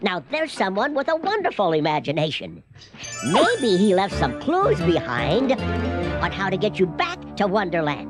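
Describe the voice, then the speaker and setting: A cartoonish character voice moves at a moderate pace. Clear music plays in the background. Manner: cheerful, playful.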